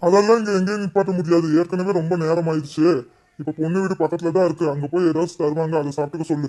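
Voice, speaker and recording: A cartoonish character voice from a man, high-pitched, at a fairly quick pace. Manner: plain, mild, slightly bewildered.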